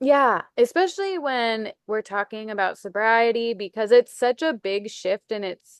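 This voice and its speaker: A woman with an ordinary speaking voice talks at a moderate pace and a fairly high pitch. The sound is dry and close with no echo, over a quiet background. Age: 30s. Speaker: podcast host. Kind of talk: casual chat.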